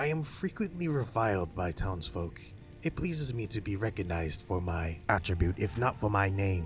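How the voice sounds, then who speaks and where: Putting on a character voice, a man talks at a moderate pace in a fairly low, raspy, wheezy register, with clear background noise behind him. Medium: read story. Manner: aloof, solemn.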